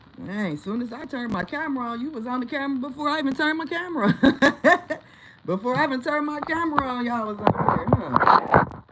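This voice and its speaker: A woman's high, animated voice with very wide pitch swings, big swings in loudness, a fairly quick pace and long, frequent pauses, over noticeable background noise. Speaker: livestream host. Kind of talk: casual livestream chat. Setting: home livestream on camera.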